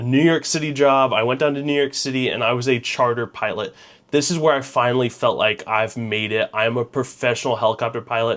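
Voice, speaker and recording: An unremarkable speaking voice from a man with an American accent, medium pitch, ordinary pitch variation and a fairly quick pace. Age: 20s. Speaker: helicopter pilot. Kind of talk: casual vlog monologue. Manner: conversational, with fillers.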